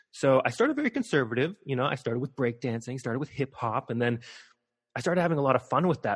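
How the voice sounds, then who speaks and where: With an American accent, a man talks at a very fast pace and medium pitch, his pitch varying in an ordinary way, in a dry, close sound with no echo and a quiet background. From US, Montana (Missoula). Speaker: performer and stage manager. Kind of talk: interview.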